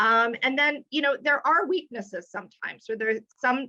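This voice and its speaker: A woman talks loudly at a moderate pace in a bright, sharp tone with ordinary pitch variation. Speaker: retail executive. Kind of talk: webinar talk. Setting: video call. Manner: animated.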